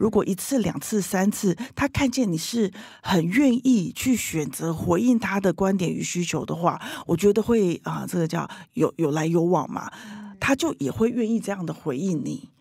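A woman at a medium pitch, with lively intonation and a moderate pace. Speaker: leadership coach. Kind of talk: interview. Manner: loud.

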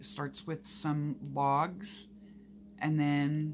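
The speaker has an American accent. Light background noise can be heard. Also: woman. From Oklahoma. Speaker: gardening vlogger. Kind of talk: casual vlog talk to camera. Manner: animated. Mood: relaxed, enthusiastic. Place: home room. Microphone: phone near.

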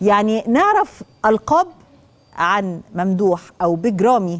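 A woman speaks with lively intonation. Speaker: TV show host. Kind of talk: presenter introduction to camera. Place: studio. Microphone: lapel.

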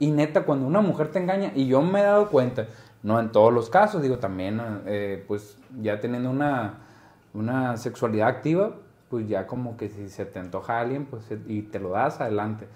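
Lively intonation from a man at a moderate pace. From Mexico. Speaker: podcast host. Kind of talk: casual chat. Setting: studio. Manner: animated. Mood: cheerful, laughing, animated. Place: studio. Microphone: lapel.

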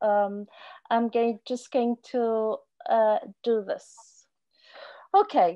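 A woman talks at a very slow pace with long, frequent pauses and a fairly high pitch. Her pitch varies in an ordinary way against a quiet background. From South Africa. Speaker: professor of fisheries social science; presenter. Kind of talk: keynote lecture. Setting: video call. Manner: halting, many fillers. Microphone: video call.

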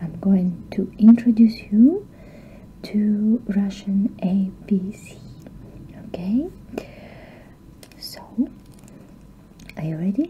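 Soft-spoken, a woman talks at a very slow pace with long, frequent pauses and ordinary pitch variation. Her loudness swings widely over light background noise. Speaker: ASMR creator. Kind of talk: ASMR teacher roleplay lesson. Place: home room. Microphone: webcam.

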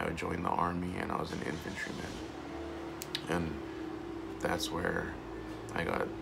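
Loud background noise surrounds a man as he talks. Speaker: vlogger and army veteran. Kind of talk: personal video monologue. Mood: earnest, emotional, reflective. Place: home room. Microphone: phone near.

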